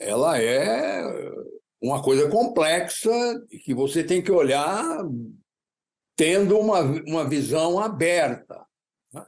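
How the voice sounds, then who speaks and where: In a room with audible echo, a man talks very slowly with vocal fry. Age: 80s+. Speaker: economist. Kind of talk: interview. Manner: halting.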